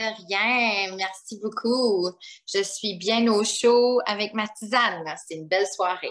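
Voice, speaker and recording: Very slow and fairly high-pitched, a woman with a slight New Brunswick accent keeps her intonation fairly even while her loudness swings widely. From New Brunswick, Canada (Acadian). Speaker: primary school teacher and author. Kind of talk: interview.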